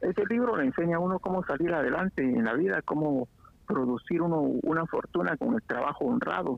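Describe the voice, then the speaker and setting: A man's fairly high voice at a fairly quick pace, with very wide pitch swings and very even loudness. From Guatemala, Quetzaltenango (Xela). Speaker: guest. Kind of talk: casual chat.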